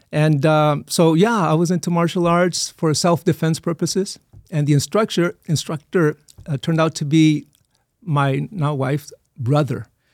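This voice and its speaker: A normal speaking voice from a fairly high-pitched man with an American accent, moderate pace, ordinary pitch variation, and a dry, close sound with no echo. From Texas border region (Eagle Pass), migrant family. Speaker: church administrator and pastor. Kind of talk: casual interview.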